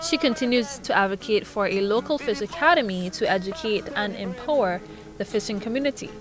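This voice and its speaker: Lively intonation from a woman at a moderate pace, with music in the background. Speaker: news reporter. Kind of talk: news report narration.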